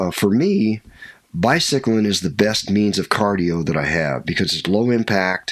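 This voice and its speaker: A man with an American accent speaks in a normal speaking voice at a moderate pace, fairly low in pitch with lively intonation. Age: 60s. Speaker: skydiving instructor and army veteran. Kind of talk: interview, casual chat.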